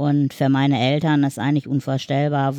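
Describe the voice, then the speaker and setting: A woman with a very deep, low pitch and a dark, mellow tone speaks at a moderate pace. The sound is dry and close with no echo, over a quiet background. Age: 50s. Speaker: wheelchair user and mother. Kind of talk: casual chat.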